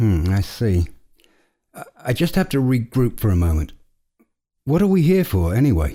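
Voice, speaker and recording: In a very clean recording with a silent background, a somewhat breathy man at a medium pitch speaks at a moderate pace, with very wide pitch swings and long, frequent pauses. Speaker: podcast host. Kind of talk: scripted podcast banter.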